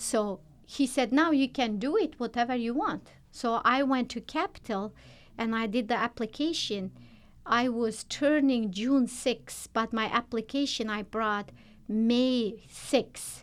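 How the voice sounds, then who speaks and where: A woman speaks at a high pitch with ordinary pitch variation and a fairly slow pace. The recording is very clean, with a silent background. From Turkmenistan. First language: not English. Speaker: nurse. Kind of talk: interview. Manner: halting.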